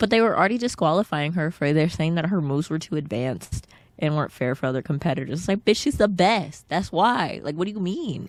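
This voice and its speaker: A woman with fairly low pitch speaks at a very fast pace, animated in tone. Her intonation is lively, and the recording is very clean with a silent background. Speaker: podcast co-host. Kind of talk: casual chat.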